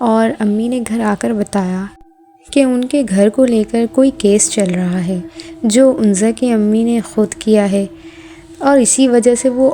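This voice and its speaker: Woman's fairly high voice with ordinary pitch variation amid noticeable background noise. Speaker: horror story narrator. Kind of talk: horror story narration.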